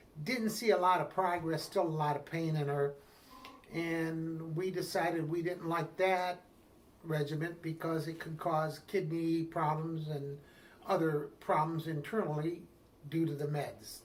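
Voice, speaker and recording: In a Midwestern American accent, a man talks at a fairly slow pace with a fairly high pitch and fairly even intonation. The room echoes audibly, and background noise is noticeable. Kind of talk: interview.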